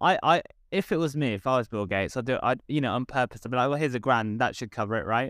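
A man talks at a very fast pace with a southern English accent, medium pitch and ordinary pitch variation. The sound is dry and close with no echo, on a very clean recording with a silent background. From southern England. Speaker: comedian. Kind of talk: casual chat.

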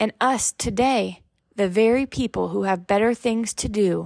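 A woman with an unremarkable speaking voice talks at a moderate pace and medium pitch. The recording is very clean, dry and close, with a silent background and no echo. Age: 20s. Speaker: faith podcast host. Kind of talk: devotional talk.

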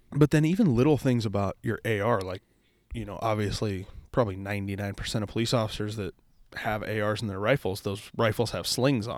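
A man with a plain, everyday voice speaks fairly quickly in a fairly low pitch with ordinary pitch variation, in a very clean recording with a silent background. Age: 20s. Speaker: police officer podcast host. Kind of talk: casual chat.

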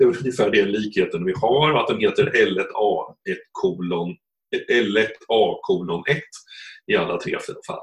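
The speaker has a slight Östergötland accent. The pace is fairly slow. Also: man. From Östergötland, Sweden. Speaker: economics professor and genealogist. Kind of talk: interview. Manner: halting.

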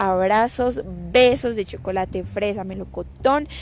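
At a fairly slow pace, a woman talks with ordinary pitch variation. Noticeable noise fills the background. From Colombia. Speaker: podcast host on digital business. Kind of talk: casual solo podcast talk. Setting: home recording.

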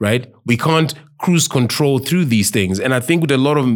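With a Zimbabwean accent, a man speaks at a moderate pace with lively intonation. The recording is very clean, with a silent background. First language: Shona. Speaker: podcast host. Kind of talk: casual chat.

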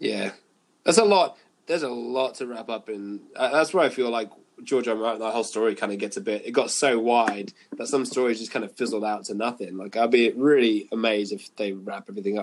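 A man's medium-pitched voice with a northern English accent, fairly quick, with ordinary pitch variation. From northern England. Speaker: guitarist and podcast host. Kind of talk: casual chat.

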